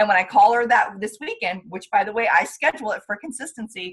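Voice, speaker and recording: Speaking at a fairly quick pace, a woman sounds somewhat breathy, with ordinary pitch variation. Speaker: direct sales trainer. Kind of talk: training call. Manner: fast; animated.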